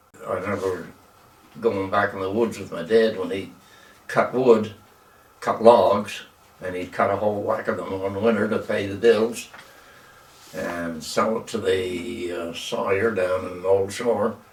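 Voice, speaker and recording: A man speaks at a fairly slow pace with a fairly low pitch, fairly even intonation, big swings in loudness and long, frequent pauses. Audible room echo and noticeable background noise fill the recording. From Nova Scotia, East Hants (Maitland area). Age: 90s. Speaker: elderly local resident interviewed about local history. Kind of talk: oral history interview.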